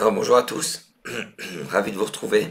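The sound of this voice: Putting on a raspy character voice, a man speaks at a medium pitch and moderate pace.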